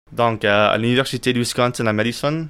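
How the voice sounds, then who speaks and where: A man speaks with an English accent. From United States. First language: English (speaking French). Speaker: friend explaining the rules. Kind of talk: casual interview. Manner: halting.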